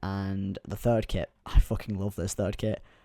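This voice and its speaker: A soft-spoken man's fairly low voice with a dark, mellow tone. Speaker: youtuber. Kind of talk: casual vlog commentary.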